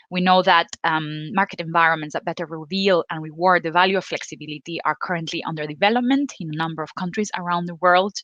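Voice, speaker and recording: Delivered in a Spanish accent at a very fast pace with hardly any pauses and ordinary pitch variation, the speech has a dry, close sound with no echo over a quiet background. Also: woman, fairly low pitch for a woman. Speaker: panel moderator. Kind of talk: panel discussion. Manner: halting, many fillers.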